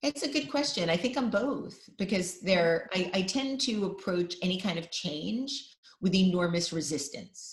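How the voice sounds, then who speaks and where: A woman speaks with a New York accent. Her intonation is lively. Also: medium pitch for a woman, moderate pace. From New York (Brooklyn, Queens). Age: 50s. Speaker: designer and podcast host. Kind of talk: interview.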